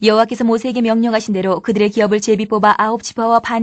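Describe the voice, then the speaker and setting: Against a quiet background, a woman speaks at a very fast pace. Her pitch is fairly high. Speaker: Bible reader. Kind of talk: reading aloud.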